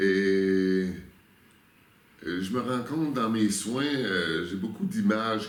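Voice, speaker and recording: A man speaks very slowly in a Quebec accent. His pitch is fairly low, with ordinary variation. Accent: Québécois French. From Quebec, Canada. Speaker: spiritual guide. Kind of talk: interview answer.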